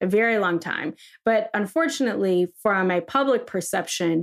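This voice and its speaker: A plain, everyday voice, a woman speaks at medium pitch and a fairly slow pace on a very clean recording with a silent background. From Ohio, US. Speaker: political strategist. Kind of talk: casual interview chat.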